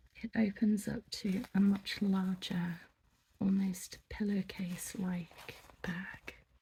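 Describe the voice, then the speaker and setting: The speaker is soft-spoken with a gentle tone and talks at a very slow pace. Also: long, frequent pauses. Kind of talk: ASMR shop roleplay, soft-spoken shopkeeper. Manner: soft-spoken, gentle, polite.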